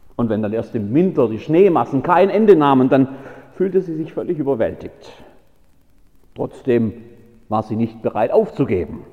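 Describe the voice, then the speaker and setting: A man with a fairly high pitch speaks at a moderate pace, leaving long, frequent pauses. His pitch swings very widely. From Baden-Württemberg. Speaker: pastor. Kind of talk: sermon.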